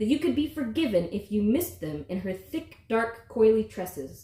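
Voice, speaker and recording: This woman has a fairly high pitch and some vocal fry. She talks at a moderate pace with very wide pitch swings. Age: 30s. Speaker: author. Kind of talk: reading aloud.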